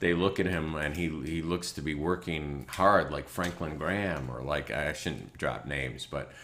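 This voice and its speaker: An animated tone with vocal fry comes through at a moderate pace, with audible room echo around it. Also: man. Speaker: online show host, preacher. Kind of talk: informal sermon-style commentary. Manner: animated, joking.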